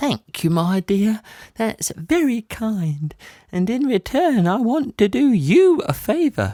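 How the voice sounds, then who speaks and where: Very wide pitch swings mark this put-on character voice, delivered at a fairly slow pace in a dry, close sound with no echo and a very clean recording with a silent background. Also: woman, fairly high pitch for a woman. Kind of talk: bedtime story. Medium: read story. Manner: gentle, warm, calls others "my dear".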